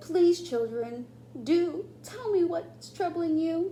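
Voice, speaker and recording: A put-on character voice with an extremely high pitch speaks at a very slow pace. Clear background noise runs underneath. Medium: read story.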